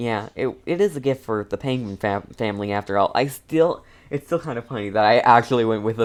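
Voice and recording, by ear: The voice is natural. It reads something aloud.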